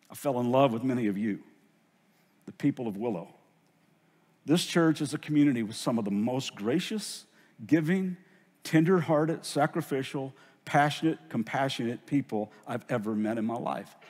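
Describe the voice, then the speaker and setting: A man's lively intonation broken by long, frequent pauses, on a very clean recording with a silent background. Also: medium pitch for a man. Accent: Southern US. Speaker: pastor. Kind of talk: sermon. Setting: church. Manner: earnest, emotional.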